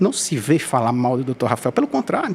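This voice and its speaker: A man with a fairly high pitch speaks at a fairly quick pace, his intonation lively over noticeable background noise. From Brazil, Ceará (Groaíras). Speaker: podcast host. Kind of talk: podcast interview. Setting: studio. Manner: halting.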